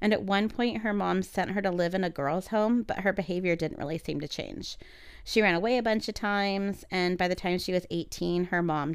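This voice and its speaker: A woman has a normal speaking voice at a medium pitch, with ordinary pitch variation and a fairly quick pace. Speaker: podcast host. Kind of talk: casual chat, story retelling.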